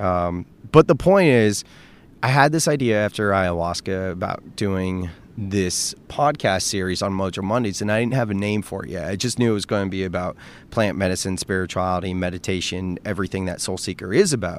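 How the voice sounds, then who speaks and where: Fairly quick and fairly low-pitched, a man's voice moves along. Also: ordinary pitch variation. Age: 30s. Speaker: podcast host. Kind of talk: solo podcast monologue. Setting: outdoors at the beach. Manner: casual, unscripted and tangential.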